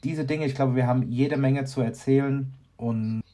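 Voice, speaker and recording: Fairly even in intonation, a man talks at a moderate pace in a dark, mellow tone. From Aschaffenburg, Lower Franconia, Germany. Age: 40s. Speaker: communications consultant and podcast co-host. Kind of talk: casual chat.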